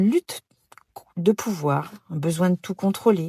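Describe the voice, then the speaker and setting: A woman talks at a moderate pace with a fairly low pitch and a somewhat breathy quality. Her intonation is lively, and the sound is dry and close with no echo. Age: 60s. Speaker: podcast host, personal development coach. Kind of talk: podcast monologue. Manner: hesitant, many fillers.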